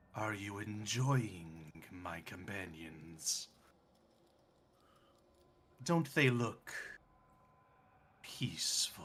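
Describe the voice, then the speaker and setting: Using a put-on character voice at a fairly low pitch, a man speaks at a very slow pace with lively intonation and long, frequent pauses. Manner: sinister, mocking.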